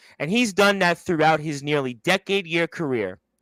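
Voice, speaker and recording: A man with an unremarkable speaking voice, fairly high pitch, lively intonation and moderate pace, in a very clean recording with a silent background and a dry, close sound with no echo. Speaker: radio show host. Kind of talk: formal ceremony announcement.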